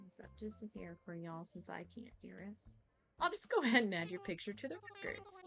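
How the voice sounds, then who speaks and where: A woman speaks with an American accent while music plays in the background. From US Midwest (Missouri). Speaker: gaming streamer. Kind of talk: casual live-stream chat. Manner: casual, chatty.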